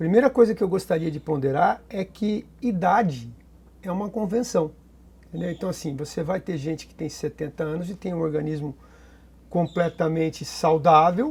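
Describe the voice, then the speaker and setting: A man with a high voice speaks with ordinary pitch variation. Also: moderate pace. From Brazil, São Paulo state. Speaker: surgeon. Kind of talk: interview. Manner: halting.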